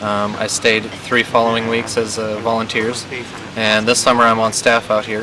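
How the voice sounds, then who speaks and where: A man speaks at a medium pitch and a moderate pace. His intonation is flat and monotone, with noticeable background noise behind him. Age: 20s. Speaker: camp staff member, wheelchair user. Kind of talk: interview testimony. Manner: hesitant, many fillers.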